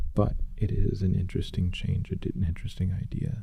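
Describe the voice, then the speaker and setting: A man whispering at a moderate pace amid noticeable background noise. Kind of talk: casual talk to camera. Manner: soft-spoken.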